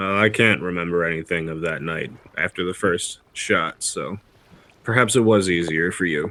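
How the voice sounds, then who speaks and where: Putting on a character voice, a man speaks at a moderate pace in a raspy, very deep, low register with ordinary pitch variation. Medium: actual play.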